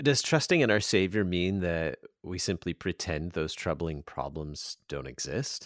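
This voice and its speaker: A man speaks in a very deep, low pitch with vocal fry and lively intonation, at a fairly slow pace with hardly any pauses. The sound is dry and close with no echo, on a very clean recording with a silent background. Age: 40s. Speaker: radio host. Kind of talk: radio interview. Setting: radio studio.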